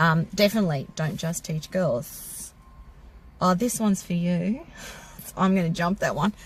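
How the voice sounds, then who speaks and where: Speaking in an Australian accent, a woman with a fairly low, somewhat breathy voice talks at a fairly slow pace with long, frequent pauses. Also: ordinary pitch variation. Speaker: car maintenance teacher and channel co-host. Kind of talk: casual Q&A chat.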